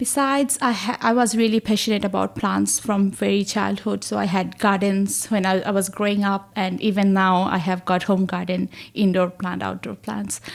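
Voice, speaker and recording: A woman with a Bengali accent, hardly any pauses, in a very clean recording against a silent background. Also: moderate pace. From Bangladesh. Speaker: research associate in plant science. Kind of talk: podcast interview.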